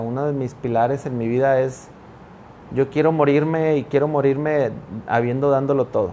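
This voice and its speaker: A man speaks with a plain, everyday voice at a fairly high pitch. His pace is moderate and his intonation fairly even. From northern Mexico (Sabinas, Coahuila). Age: 30s. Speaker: pastor. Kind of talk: casual interview chat. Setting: studio with cameras.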